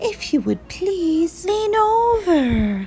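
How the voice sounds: A woman in a put-on character voice speaks very slowly at an extremely high pitch with big pitch swings and a dark, mellow tone, with faint music in the background.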